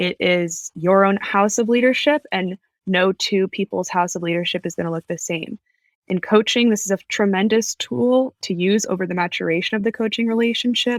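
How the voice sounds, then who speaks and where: A woman talks in an ordinary speaking voice at a medium pitch and a moderate pace, with ordinary pitch variation. The recording is very clean, dry and close, with no echo and a silent background. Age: 20s. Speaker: leadership coach. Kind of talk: podcast discussion.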